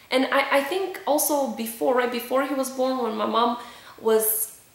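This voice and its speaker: In a Romanian accent, a woman speaks at a moderate pace with a high pitch and ordinary pitch variation. Room echo is audible, and background noise is noticeable. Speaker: vlogger. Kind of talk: personal testimony. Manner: hesitant, many fillers.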